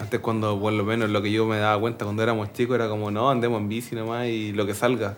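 A man's fairly low voice holds a monotone, flat intonation. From southern Chile, Linares. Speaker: podcast host and BMX rider. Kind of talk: casual interview chat. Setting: studio with cameras. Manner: halting, with frequent fillers and repetitions.

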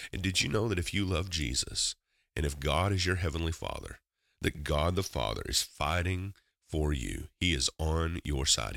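A very clean recording with a silent background captures a man speaking with vocal fry. He talks at a fairly slow pace with ordinary pitch variation. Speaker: podcast host and prayer minister. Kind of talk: devotional talk and prayer. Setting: solo podcast recording. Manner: fervent.

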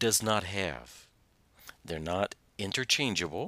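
A man's bright, sharp voice with vocal fry and an American accent. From Southern Indiana. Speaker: pastor and podcast host. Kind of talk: sermon-style podcast teaching with scripture reading. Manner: halting, many fillers; drops word endings.

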